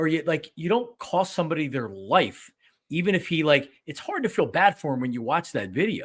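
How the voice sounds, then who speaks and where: Fairly high in pitch and full of vocal fry, a man with an American accent talks at a fairly quick pace in an animated tone with very wide pitch swings. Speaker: sports podcast host. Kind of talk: casual chat. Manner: loud.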